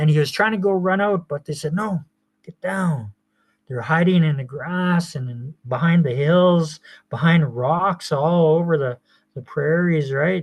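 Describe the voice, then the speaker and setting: A man with an unremarkable speaking voice, fairly high pitch and ordinary pitch variation, at a fairly slow pace. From Piapot First Nation, Saskatchewan, Canada. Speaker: poet and storyteller. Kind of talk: oral traditional storytelling. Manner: casual, conversational.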